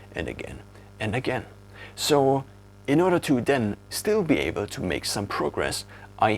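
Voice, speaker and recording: The speaker is a man in a German accent. He keeps a moderate pace. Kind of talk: casual talk to camera.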